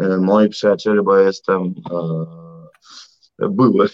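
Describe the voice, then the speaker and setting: A man speaks at a very deep, low pitch. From Russia. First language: Russian (speaking Polish). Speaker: civic activist and entrepreneur. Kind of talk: interview.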